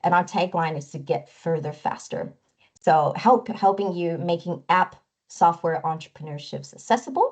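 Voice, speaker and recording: Somewhat breathy and fairly low in pitch, a woman speaks at a moderate pace with ordinary pitch variation. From Canada (moved from Taiwan at 10). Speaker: product strategist. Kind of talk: webinar presentation.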